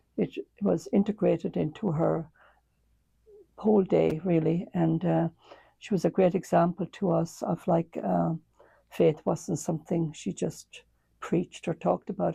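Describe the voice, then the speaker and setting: With a slight Irish accent, a woman speaks at a moderate pace with long, frequent pauses in a dry, close sound with no echo. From Ireland. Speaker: nun and retired school principal. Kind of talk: interview. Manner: hesitant, many fillers.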